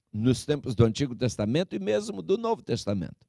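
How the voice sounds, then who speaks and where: A man speaks over a quiet background. The sound is dry, without echo. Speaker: preacher. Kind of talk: sermon. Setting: church with a congregation. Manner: earnest, pastoral and exhortative, addressing the congregation as 'queridos' and 'irmãos'; deliberate, with some hesitations and self-corrections. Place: church. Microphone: handheld.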